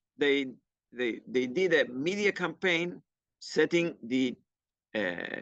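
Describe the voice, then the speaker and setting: A man speaks with lively intonation in a fairly high pitch. The sound is dry and close with no echo, over a quiet background. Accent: Argentine. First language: Spanish. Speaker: climate educator. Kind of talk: workshop presentation. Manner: halting, with many fillers and restarts.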